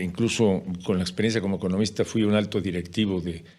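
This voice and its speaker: Speaking at a fairly quick pace, the man has a very deep, low pitch. His pitch variation is ordinary. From Mexico. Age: 60s. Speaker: journalist and speaker. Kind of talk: podcast interview.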